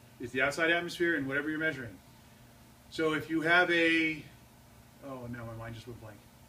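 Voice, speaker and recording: Audible room echo hangs around the voice. A man talks with ordinary pitch variation. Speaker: physics teacher. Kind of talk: lecture. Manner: loud; animated.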